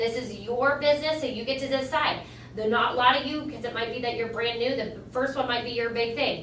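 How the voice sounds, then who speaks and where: A woman talks at a fairly quick pace in a high voice with monotone, flat intonation. There is audible room echo and noticeable background noise. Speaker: cosmetics sales trainer. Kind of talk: training talk. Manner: fast.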